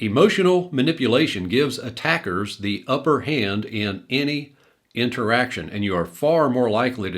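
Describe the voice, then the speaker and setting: Lively intonation marks this man's speech at a moderate pace and medium pitch. He has a plain, everyday voice. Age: 60s. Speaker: religious commentary youtuber. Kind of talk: video commentary monologue.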